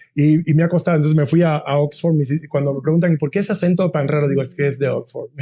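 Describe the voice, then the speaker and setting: A man talks at a very fast pace with hardly any pauses. His fairly high voice has a dark, mellow tone and is somewhat breathy. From Cuba. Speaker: university dean. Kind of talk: interview. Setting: podcast. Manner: halting, many repetitions; animated.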